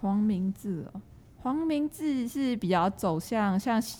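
The intonation is lively. The speaker has an unremarkable speaking voice. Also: woman. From Malaysia, Johor near Singapore. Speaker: university student. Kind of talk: casual chat.

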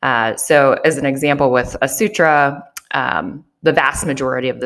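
A woman with an American accent speaks in a very deep, low pitch with ordinary pitch variation. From Chicago, US Midwest. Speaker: business owner and CEO. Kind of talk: interview.

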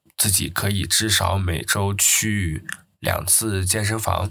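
A flat, monotone delivery, recorded very cleanly against a silent background. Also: man. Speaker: podcast host. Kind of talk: casual solo monologue. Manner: halting with many filler sounds.

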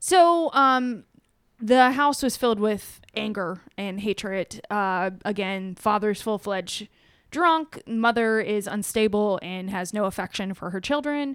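Over a silent background in a very clean recording, a woman with a plain, everyday voice speaks fairly slowly at medium pitch with lively intonation. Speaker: true crime podcast co-host. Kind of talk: storytelling narration of a true crime case. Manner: casual, with frequent fillers.

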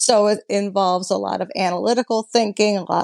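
In a plain, everyday voice, the speaker moves at a fairly quick pace with fairly even intonation, the sound dry and close with no echo. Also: woman. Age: 50s. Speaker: hot rod builder and restoration business owner. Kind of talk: interview.

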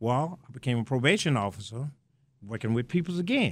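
A man at a very fast pace in a Southern US accent, medium in pitch with ordinary pitch variation. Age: 70s. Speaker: stadium greeter, retired probation officer. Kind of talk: interview chat.

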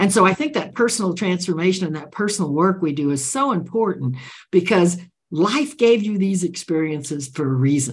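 A woman talks at a fairly quick pace with a medium pitch. Her voice is somewhat breathy and swings very widely in pitch. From Central America (Nicaragua). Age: 80s+. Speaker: author and leadership expert. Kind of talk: interview conversation.

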